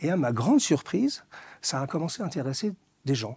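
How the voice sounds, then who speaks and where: With a dark, mellow tone and a somewhat breathy quality, a man speaks at a moderate pace and fairly high pitch on a very clean recording with a silent background. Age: 60s. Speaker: author and fashion commentator. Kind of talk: interview.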